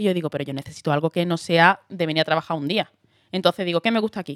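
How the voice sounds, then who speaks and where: A woman with an Andalusian accent and a fairly low voice talks at a very fast pace, in a dry, close sound with no echo. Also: very clean recording, silent background. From Andalusia, Huelva. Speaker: actress. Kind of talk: casual chat. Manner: animated.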